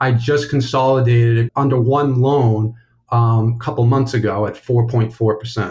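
At a moderate pace, a man talks at medium pitch with monotone, flat intonation. His voice is somewhat breathy. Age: 30s. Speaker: caller seeking money advice. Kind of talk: phone-in question.

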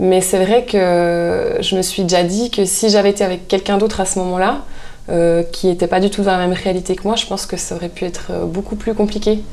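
A woman's medium-pitched voice at a fairly quick pace, fairly even in intonation, over noticeable background noise. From Swiss Jura (Porrentruy). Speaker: artisan soap maker. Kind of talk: casual interview chat.

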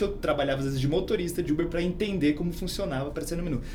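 Room echo you can hear, noticeable noise behind, ordinary pitch variation and a very fast pace. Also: man. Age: 30s. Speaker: startup founder. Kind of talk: casual interview.

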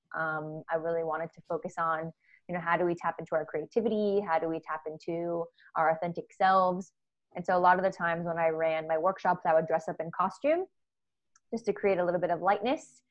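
In an unremarkable speaking voice, a woman talks at a fairly quick pace with a fairly low pitch and fairly even intonation. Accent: American. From US. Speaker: play expert and culture consultant. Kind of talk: casual interview conversation. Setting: video call from home office during lockdown.

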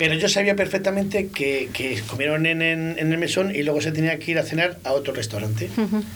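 With noticeable background noise behind him, a man speaks at a fairly high pitch and fairly quick pace, with lively intonation and hardly any pauses. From Spain, Valladolid (Girón neighbourhood). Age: 50s. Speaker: restaurant owner. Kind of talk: casual chat. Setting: studio.

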